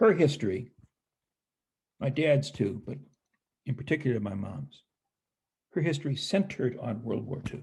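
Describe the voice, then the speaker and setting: Somewhat breathy, a man with an American accent speaks at a moderate pace and medium pitch with lively intonation and long, frequent pauses. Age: 70s. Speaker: historian and professor. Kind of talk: interview. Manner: halting.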